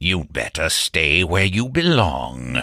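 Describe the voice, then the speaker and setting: Putting on a character voice, a man growls at a fairly slow pace in a very deep, low pitch with very wide pitch swings. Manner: menacing.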